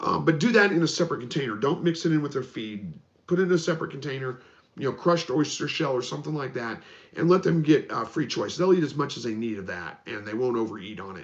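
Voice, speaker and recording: Intonation is lively as a man talks at a very fast pace. His voice carries vocal fry. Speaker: homesteading channel host. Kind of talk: live stream Q&A. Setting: live broadcast. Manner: salesman-like.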